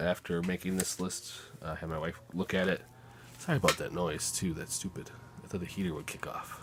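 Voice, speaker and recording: Fairly quick, fairly evenly intoned speech from a man with a very deep, low voice. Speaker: filmmaker and video editor. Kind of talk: casual vlog monologue. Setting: home editing room. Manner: halting.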